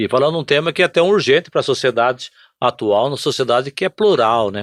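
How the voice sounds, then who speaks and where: A man speaks at a fairly quick pace in a normal speaking voice, medium-pitched with lively intonation, recorded with a dry, close sound with no echo against a quiet background. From Brazil, São Paulo state (Presidente Prudente). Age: 60s. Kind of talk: podcast interview.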